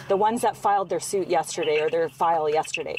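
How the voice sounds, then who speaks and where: Talking at a very fast pace, a woman has a Canadian accent and a medium pitch with ordinary pitch variation. The sound is dry and close, with no echo. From British Columbia. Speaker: amateur investigator. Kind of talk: phone call to police. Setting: phone call.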